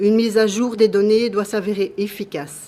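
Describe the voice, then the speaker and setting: A woman talks in an ordinary speaking voice at medium pitch and moderate pace, with fairly even intonation. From Belgium. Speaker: patient association president. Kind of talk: formal testimony. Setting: public hearing. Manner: formal.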